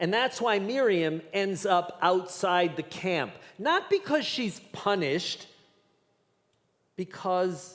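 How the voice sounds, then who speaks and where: At a very slow pace, a man with a high pitch talks using lively intonation. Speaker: rabbi. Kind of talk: sermon delivered to a congregation.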